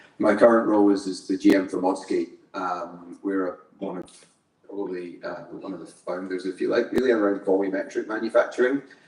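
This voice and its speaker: A man with a Scottish accent speaks at a fairly quick pace. His loudness swings widely. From Scotland. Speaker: engineer and construction company manager. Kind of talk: panel discussion introduction.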